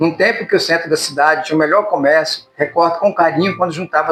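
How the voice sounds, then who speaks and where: A man with a high pitch delivers his words at a fairly quick pace. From Espírito Santo, Brazil. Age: old. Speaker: author. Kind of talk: reading of his own memoir chronicle.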